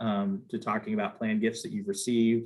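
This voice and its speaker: A man speaks with fairly even intonation in an ordinary speaking voice. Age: 50s. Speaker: nonprofit planned giving fundraiser. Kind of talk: webinar panel discussion.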